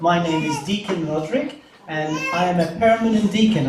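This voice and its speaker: A man with a Maltese accent speaks at a high pitch with ordinary pitch variation, amid noticeable background noise and audible room echo. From Malta. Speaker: deacon. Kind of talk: welcome speech at mass. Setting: church. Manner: halting, many fillers.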